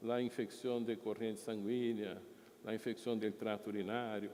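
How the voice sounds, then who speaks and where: A man speaks with a Brazilian accent. His tone is dark and mellow. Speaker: hospital executive. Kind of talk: conference presentation. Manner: halting.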